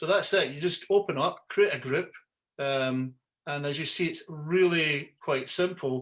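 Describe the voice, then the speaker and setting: A man with a Scottish accent speaks at a fairly slow pace, his pitch fairly high and his pitch variation ordinary, over a quiet background. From Scotland. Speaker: yacht broker and website host; yacht broker hosting a call. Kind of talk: webinar tutorial; tutorial. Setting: video call. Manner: halting, many fillers and repeats. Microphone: video call.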